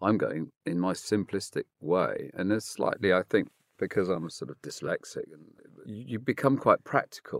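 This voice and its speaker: Recorded dry and close with no echo, a man speaks at a moderate pace on a very clean recording with a silent background. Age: 60s. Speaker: property developer. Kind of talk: interview.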